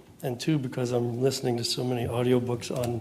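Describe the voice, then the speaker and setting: A man with an American accent speaks at a medium pitch and a fairly quick pace. Audible room echo and noticeable background noise are present. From US Northeast, Boston. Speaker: young adult novelist and writing teacher. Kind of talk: author reading to an audience. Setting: stage with audience. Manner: fast reading.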